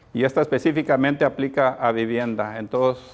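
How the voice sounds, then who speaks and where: A man speaks at a moderate pace with a medium pitch and fairly even intonation, with noticeable background noise. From Texas, Corpus Christi. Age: old. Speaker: community activist. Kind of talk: presentation. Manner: halting.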